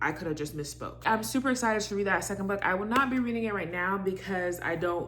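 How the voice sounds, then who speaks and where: A woman talks with ordinary pitch variation while audible room echo fills the space. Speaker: book vlogger. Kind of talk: casual vlog talk. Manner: fast; animated.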